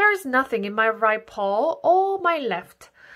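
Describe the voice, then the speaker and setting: Using a put-on character voice, a woman speaks fairly slowly at a high pitch that swings very widely. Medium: read story. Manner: crowing, theatrical.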